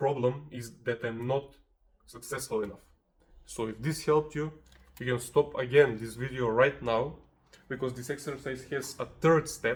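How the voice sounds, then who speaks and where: A man with a non-native accent speaks at a fairly slow pace and medium pitch, somewhat breathy, with fairly even intonation and long, frequent pauses. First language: not English. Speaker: self-help video creator. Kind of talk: motivational tutorial. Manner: casual, conversational.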